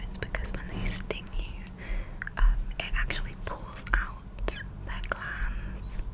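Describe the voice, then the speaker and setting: Background noise is noticeable here. Beneath it, the speaker whispers very slowly. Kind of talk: ASMR fact reading. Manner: whispered.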